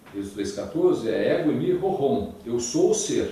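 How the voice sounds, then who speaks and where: Background noise is clearly present, along with audible room echo. Over it, a man talks at a moderate speed. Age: 60s. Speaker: Bible lecturer. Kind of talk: religious lecture.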